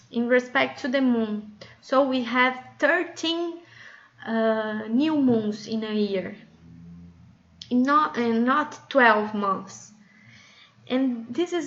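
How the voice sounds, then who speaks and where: A high-pitched woman speaks with a non-native accent. She goes at a very slow pace, with ordinary pitch variation. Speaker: women's circle facilitator. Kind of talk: casual talk to camera. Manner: hesitant, with fillers.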